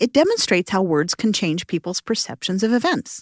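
A woman with an unremarkable speaking voice talks at a medium pitch and a fairly quick pace. The recording is very clean, with a silent background. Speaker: podcast host and narrator. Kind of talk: scripted narration. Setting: studio.

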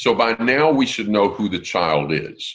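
At a fairly slow pace, a man talks. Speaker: Bible teacher. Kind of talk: casual online Bible discussion.

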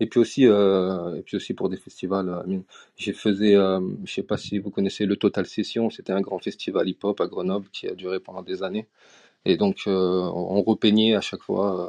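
At a moderate pace, a man speaks in a fairly low pitch with monotone, flat intonation and a dark, mellow tone, the sound dry and close with no echo over a quiet background. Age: 30s. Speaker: digital artist. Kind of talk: interview. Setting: live audio chat room.

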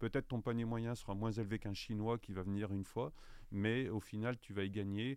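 A man talks at a fairly quick pace and fairly low pitch with fairly even intonation in a plain, everyday voice. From France, Saint-Étienne. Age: 50s. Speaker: travel guide publisher sales director. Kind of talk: interview.

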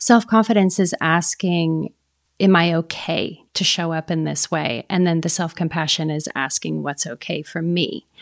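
With an ordinary speaking voice, a woman talks at a moderate pace and a fairly low pitch, the sound dry and close with no echo. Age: 50s. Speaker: photographer. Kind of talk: interview.

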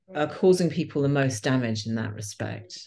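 Very wide pitch swings in a woman's voice, quiet background all around. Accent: British. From England. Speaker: podcast host, yoga teacher. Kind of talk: casual interview. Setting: remote call.

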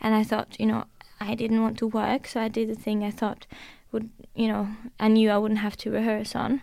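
A woman with a Norwegian accent, fairly high pitch, a dark, mellow tone and monotone, flat intonation at a moderate pace, in a very clean recording with a silent background. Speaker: musician. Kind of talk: casual interview.

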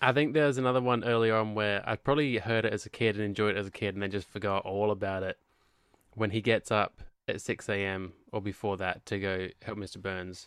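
On a very clean recording with a silent background, a man talks in an ordinary speaking voice, fairly low in pitch, at a fairly quick pace with fairly even intonation. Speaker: podcast co-host. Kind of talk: casual chat.

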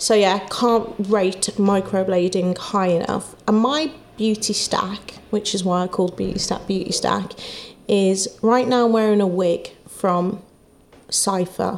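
At a fairly slow pace, a woman speaks at medium pitch with fairly even intonation over noticeable background noise. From England, Wolverhampton. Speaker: nail salon and beauty app founder. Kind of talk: casual interview chat. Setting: clinic.

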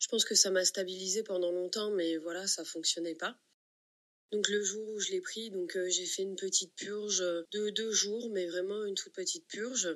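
A woman of medium pitch speaks at a moderate pace with fairly even intonation. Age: 40s. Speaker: patient sharing testimony. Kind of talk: testimony.

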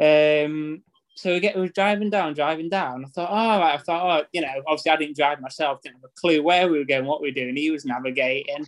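A man's fairly high voice at a very fast pace, with big swings in loudness and ordinary pitch variation. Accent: Yorkshire. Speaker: football fan. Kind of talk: casual chat telling stories.

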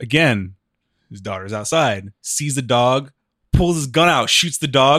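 With lively intonation, an unremarkable speaking voice keeps a moderate pace. The background is silent and the recording very clean. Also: man. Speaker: podcast co-host. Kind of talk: casual chat.

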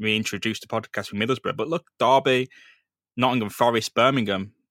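A man's medium-pitched, bright, sharp voice with an English accent, ordinary pitch variation, and a fairly quick pace. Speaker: football podcast host. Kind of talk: casual chat.

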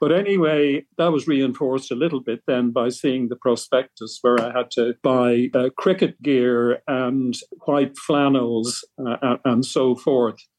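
A man with an Irish accent, fairly slow and hardly pausing, with fairly even intonation and very even loudness. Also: medium pitch for a man. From Ireland, Tipperary. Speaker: retired medical professor. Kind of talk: interview. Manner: halting.

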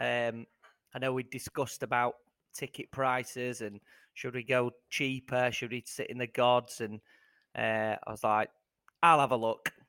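With a British accent, a man speaks at a moderate pace in a medium-pitched, bright, sharp voice with monotone, flat intonation and long, frequent pauses, the sound dry and close with no echo. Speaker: podcast co-host. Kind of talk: casual chat.

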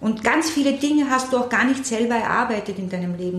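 A woman's lively intonation at a moderate pace, with audible room echo and noticeable background noise. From Austria, Vienna. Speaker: puppeteer and theatre director. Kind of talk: interview.

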